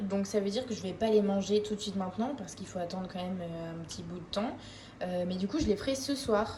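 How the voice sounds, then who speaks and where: With audible room echo around her, a woman talks at a fairly high pitch. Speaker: vlogger. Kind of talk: casual vlog talk to camera. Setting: at home, kitchen.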